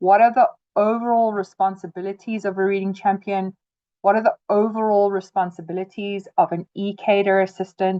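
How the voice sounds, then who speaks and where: A woman's plain, everyday voice, medium in pitch, fairly even in intonation, at a moderate pace. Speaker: trainer. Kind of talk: webinar tutorial. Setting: video call webinar.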